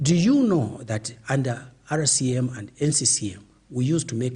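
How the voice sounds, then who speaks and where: This man has a medium-pitched voice that is somewhat breathy. His pitch varies in an ordinary way. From Zambia, Northeast. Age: 70s. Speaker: veteran politician. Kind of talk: interview. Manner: animated.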